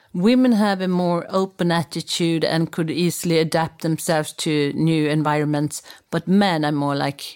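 Delivered with a Swedish accent, the speech moves at a moderate pace with ordinary pitch variation. The recording is very clean, with a silent background. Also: woman. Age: 50s. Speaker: media executive. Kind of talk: interview.

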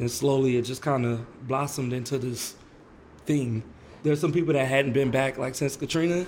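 The voice belongs to a man and is somewhat breathy. It sits at a medium pitch. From New Orleans. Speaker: saxophone player. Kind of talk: interview. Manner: casual.

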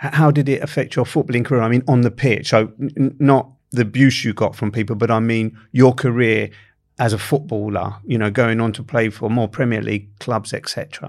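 Fairly quick, fairly even speech from a medium-pitched man with a South London accent, on a very clean recording with a silent background. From London, Camberwell. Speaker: podcast host. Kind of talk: interview conversation. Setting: studio.

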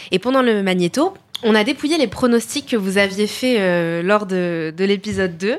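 A woman at a medium pitch and moderate pace, with lively intonation and very even loudness, over noticeable background noise. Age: 20s. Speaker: podcast host. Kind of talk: interview.

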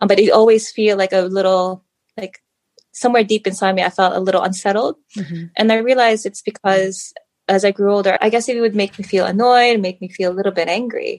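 A woman speaks at a fairly quick pace with fairly even intonation, in an unremarkable speaking voice. The sound is dry and close, with no echo. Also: medium pitch for a woman. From Philippines and US, moved around. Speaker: guest, mother and coach. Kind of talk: casual interview chat.

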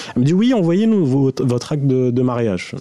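Noticeable noise sits in the background. Over it, the speech has lively intonation. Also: man. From Saudi Arabia (Algerian family). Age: 30s. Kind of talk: personal story.

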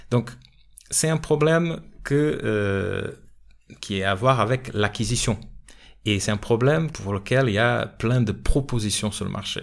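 On a very clean recording with a silent background, a man speaks fairly slowly in a Portuguese accent. His medium-pitched voice has ordinary pitch variation and long, frequent pauses. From Portugal. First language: Portuguese (speaking French). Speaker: sales coach and podcast host. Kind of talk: solo podcast monologue. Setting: studio. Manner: hesitant, many fillers.

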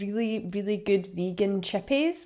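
The speaker talks at a moderate pace with a Scottish accent. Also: woman. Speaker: podcast host. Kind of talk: casual interview chat.

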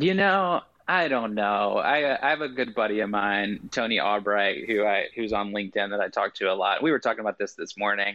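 This man has a normal speaking voice, fairly low in pitch, with an American accent and ordinary pitch variation. He talks at a fairly quick pace with hardly any pauses. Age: 30s. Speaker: sales executive and social selling coach. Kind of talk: interview.

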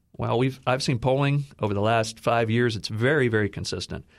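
In an American accent, a man talks at a very fast pace and medium pitch, with ordinary pitch variation. The recording is very clean, the background silent. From Texas. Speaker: conservative think tank executive. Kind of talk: panel discussion.

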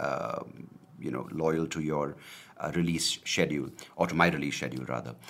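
This is a man's voice. It carries vocal fry. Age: 30s. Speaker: podcaster. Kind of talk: casual monologue. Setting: home video recording. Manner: hesitant, many fillers.

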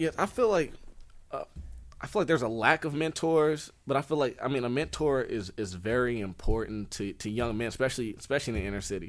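Music plays in the background as a man talks at a very fast pace with lively intonation. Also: medium pitch for a man. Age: 20s. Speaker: author and aspiring motivational speaker. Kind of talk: interview.

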